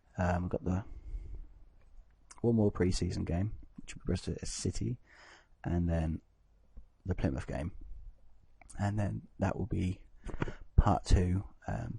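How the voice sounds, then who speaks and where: A man with a very deep, low pitch, a dark, mellow tone, vocal fry and lively intonation, at a fairly slow pace with long, frequent pauses. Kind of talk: casual gameplay commentary. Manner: hesitant, filler-heavy.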